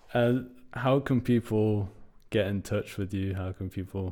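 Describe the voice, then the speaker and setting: A man with a British accent speaks fairly slowly at a fairly low pitch in a dark, mellow tone. The recording is very clean, with a silent background. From UK, British Iranian. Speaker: podcast host. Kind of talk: casual interview chat; scripted narration.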